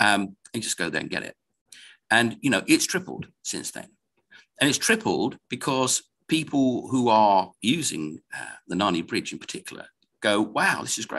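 A man with an English accent, bright and sharp in tone, at a moderate pace, with very wide pitch swings and big swings in loudness against a quiet background. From England. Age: 50s. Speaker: investment commentator. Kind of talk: casual chat. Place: home room. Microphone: video call.

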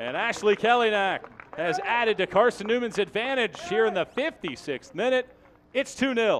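A man talks at a moderate pace in a high voice with an animated tone and lively intonation. Noticeable background noise runs underneath. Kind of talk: live sports commentary, play-by-play highlights. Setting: broadcast, game audio. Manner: animated, rising energy on goals and near misses.

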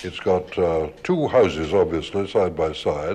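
Dark and mellow in tone, a man's voice carries the clip. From British. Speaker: radio broadcaster. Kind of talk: radio documentary presenting. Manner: old-school. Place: hall. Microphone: old recording.

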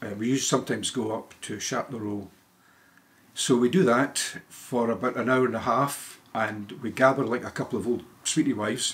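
Using fairly even intonation, a man with a Scottish accent speaks at a fairly quick pace. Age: 70s. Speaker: retired lawyer. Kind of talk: casual interview answer. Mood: relaxed, chatty. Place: home room.

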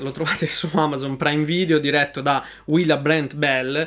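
At a fairly slow pace, a man speaks in a fairly high pitch. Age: 20s. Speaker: YouTube film reviewer. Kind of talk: film review monologue. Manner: hesitant, many fillers and repetitions. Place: home room.

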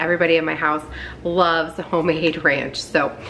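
Bright, sharp tone over light background noise. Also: woman. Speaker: home cooking vlogger. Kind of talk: casual cooking tutorial. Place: kitchen.

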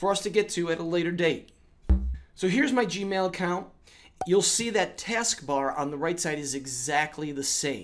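With lively intonation, a man is talking. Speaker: educator making tech tutorials. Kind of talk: tutorial.

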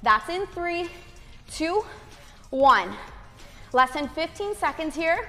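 Over faint music in the background, a woman speaks in a raised, projected voice. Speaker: fitness instructor. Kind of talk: workout instruction cues. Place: home room.

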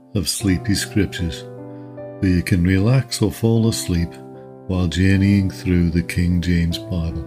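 Loudness stays very even at a fairly slow pace. Music plays in the background. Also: man. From Liverpool, England. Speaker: podcast Bible reader. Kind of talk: podcast introduction. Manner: calm, soothing.

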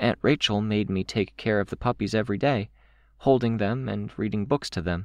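Reading in a natural voice.

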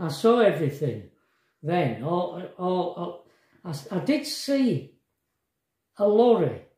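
Against a quiet background with audible room echo, a man speaks at a high pitch. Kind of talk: casual vlog storytelling. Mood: reflective, emotional recounting. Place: kitchen. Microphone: phone near.

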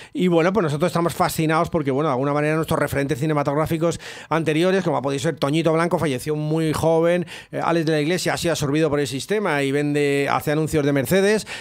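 Against a quiet background, the speech comes very fast with very even loudness and fairly even intonation. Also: man, fairly high pitch for a man. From Spain. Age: 50s. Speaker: rap-rock musician and writer; guest. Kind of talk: interview; interview answer. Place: studio. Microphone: studio mic.

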